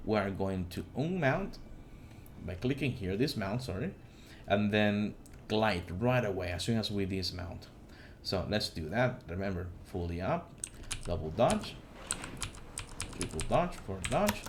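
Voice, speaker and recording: Audible room echo surrounds a man whose somewhat breathy voice sits fairly low in pitch as he talks at a fairly slow pace with long, frequent pauses. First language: not English. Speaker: gaming YouTuber. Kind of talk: tutorial. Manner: halting, many fillers and restarts.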